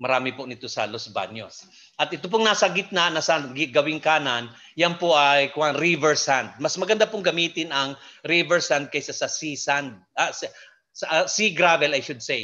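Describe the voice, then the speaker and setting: Against a quiet background, a man with a fairly high pitch speaks at a moderate pace in a bright, sharp tone, with ordinary pitch variation. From Philippines. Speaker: hydroponics expert / lecturer. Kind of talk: lecture. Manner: halting, many fillers.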